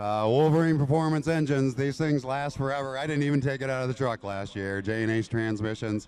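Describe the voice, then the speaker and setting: Speaking at a fairly quick pace with hardly any pauses, a man with an ordinary speaking voice talks at a medium pitch with ordinary pitch variation. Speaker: off-road truck racer. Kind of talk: post-race interview.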